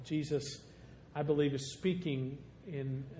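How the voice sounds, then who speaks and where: A man talks at a fairly slow pace. He has a Southern Illinois accent. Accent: southern Illinois rural. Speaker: guest preacher. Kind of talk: sermon. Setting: church.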